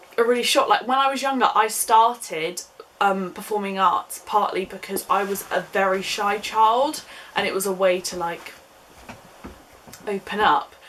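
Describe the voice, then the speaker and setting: A woman with an English accent at a medium pitch, ordinary pitch variation and a moderate pace, over noticeable background noise. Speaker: YouTuber. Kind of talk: casual chat. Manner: chatty.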